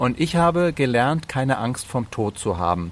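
At a moderate speed and a middle pitch, this man has a plain, everyday voice. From Bavaria and Slovenia. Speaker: entertainer and actor. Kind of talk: casual interview.

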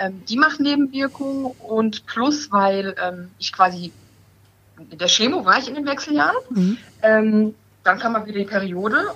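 A woman with a fairly high pitch speaks at a fairly slow pace in a bright, sharp tone. Her intonation is lively and her loudness swings widely. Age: 30s. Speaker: breast cancer patient. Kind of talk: casual chat.

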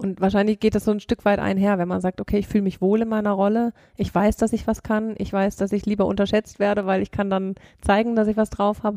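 A woman's medium-pitched voice, very fast and monotone with flat intonation, dark and mellow in tone, dry and close with no echo. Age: 30s. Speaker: company managing director. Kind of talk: interview.

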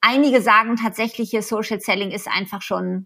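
A woman's fairly high, bright, sharp voice at a fairly quick pace, with fairly even intonation. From Germany. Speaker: social selling consultant. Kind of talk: interview. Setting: remote call. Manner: hesitant with many fillers.

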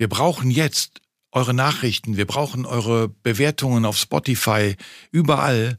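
A man with a plain, everyday voice talks at a fairly slow pace. The recording is very clean with a silent background and a dry, close sound with no echo. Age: 60s. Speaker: podcast host, father. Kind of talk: casual chat.

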